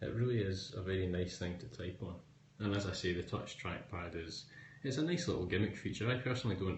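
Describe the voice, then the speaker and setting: Very deep and low, a man's somewhat breathy voice with a Scottish accent races at a very fast pace with ordinary pitch variation and audible room echo. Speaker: tech blogger and writer. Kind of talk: live-stream tech review answering viewer questions. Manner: casual with frequent fillers.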